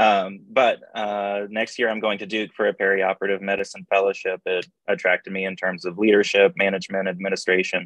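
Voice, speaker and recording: With an American accent, a man talks at a fairly quick pace in a fairly low pitch, with monotone, flat intonation and hardly any pauses. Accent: Oklahoma accent, mostly eliminated. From Oklahoma. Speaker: anesthesiology chief resident. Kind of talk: virtual forum self-introduction.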